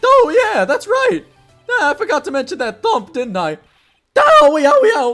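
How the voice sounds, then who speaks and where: A put-on character voice at a moderate pace, with faint music in the background. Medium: game stream. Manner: clownish, joking, scatterbrained.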